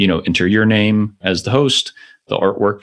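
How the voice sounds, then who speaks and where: A man with an American accent has an unremarkable speaking voice at a fairly low pitch. He talks at a moderate pace on a very clean recording with a silent background. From US. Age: 40s. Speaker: podcast company founder. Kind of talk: interview.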